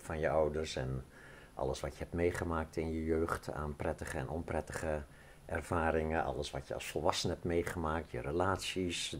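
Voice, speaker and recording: Vocal fry at a moderate pace over light background noise. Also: man. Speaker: interviewee. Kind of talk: interview answer. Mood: calm, explanatory. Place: open country.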